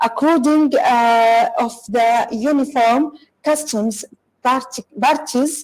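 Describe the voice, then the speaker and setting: A woman talks at a very slow pace with a high pitch. She has an Arabic accent. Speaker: corporate lawyer and speaker. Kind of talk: online conference talk. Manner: halting, many fillers and restarts; apologetic.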